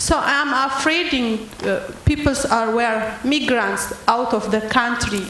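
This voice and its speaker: A woman talks at a fairly high pitch and fairly slow pace with fairly even intonation. Audible room echo and noticeable background noise are present. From Ethiopia. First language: not English. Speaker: audience member asking a question. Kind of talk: audience question at panel event. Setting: public event with audience. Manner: halting.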